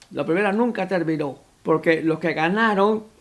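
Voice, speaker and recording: In a high pitch, a man speaks at a fairly slow pace with ordinary pitch variation. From Cuba. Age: 90s. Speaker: deacon. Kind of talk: interview testimony. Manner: halting.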